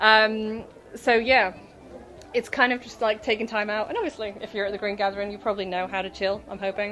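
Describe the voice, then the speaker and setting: Over noticeable background noise, a woman talks at a very fast pace in a fairly high pitch. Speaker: author and spiritual self-help speaker. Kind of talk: workshop talk. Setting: stage with audience at a festival. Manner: casual, rambling.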